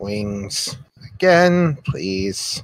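A croaky put-on character voice with very wide pitch swings. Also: man, fairly low pitch for a man. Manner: broken halting speech.

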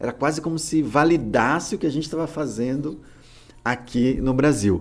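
Fairly high in pitch, this man has a plain, everyday voice and moves at a fairly quick pace. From interior of Alagoas, Brazil, moved to São Paulo at age 8. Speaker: podcast co-host, kung fu practitioner. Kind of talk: casual chat.

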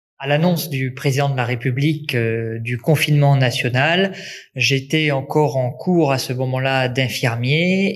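At a fairly slow pace, the speaker sounds somewhat breathy and uses ordinary pitch variation. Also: man. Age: 20s. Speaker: nursing student and volunteer first-aider. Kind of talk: interview testimony. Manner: hesitant fillers (euh).

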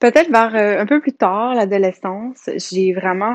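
Dry and close with no echo, a woman's voice moves at a very slow pace with ordinary pitch variation. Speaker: massage therapist and hypnotherapist. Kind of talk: solo podcast monologue. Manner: hesitant, many fillers.

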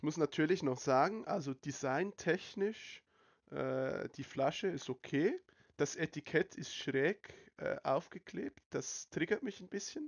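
Talking at a very slow pace, a man with vocal fry and ordinary pitch variation swings widely in loudness, recorded with a dry, close sound and no echo. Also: fairly high pitch for a man. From Switzerland. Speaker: podcast host. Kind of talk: casual chat. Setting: online voice call.

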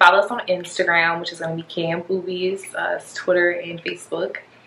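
There is noticeable background noise. A woman speaks at a moderate pace with a medium pitch. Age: 20s. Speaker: business owner. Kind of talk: casual chat.

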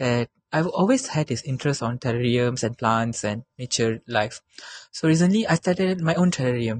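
The voice is somewhat breathy, with ordinary pitch variation at a moderate pace. The sound is dry and close, with no echo. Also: man. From Malaysia, Negeri Sembilan. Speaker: university student. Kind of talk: casual interview. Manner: hesitant, with fillers.

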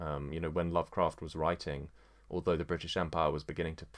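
In a very clean recording with a silent background, a man with an English accent speaks with fairly even intonation. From England. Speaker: podcaster. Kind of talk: solo monologue podcast. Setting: at home with dog. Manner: halting, many fillers.

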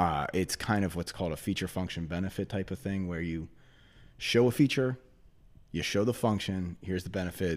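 On a very clean recording with a silent background, a man speaks at a fairly quick pace with ordinary pitch variation. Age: 40s. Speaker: financial representative. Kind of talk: casual interview. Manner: fast talker; high energy.

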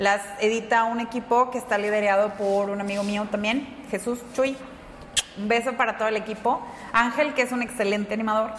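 A woman's fairly high voice at a moderate pace, with fairly even intonation over noticeable background noise. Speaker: comic artist and manga teacher. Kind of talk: casual interview.

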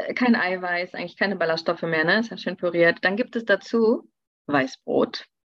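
The voice is a normal speaking voice, moving at a moderate pace with ordinary pitch variation. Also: woman, medium pitch for a woman. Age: 30s. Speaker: nutrition expert. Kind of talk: interview.

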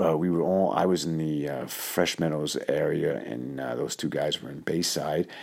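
A man speaks with a New York accent in a very deep, low voice. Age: 50s. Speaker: doctor and podcast host. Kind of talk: casual storytelling monologue. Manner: hesitant, many fillers.

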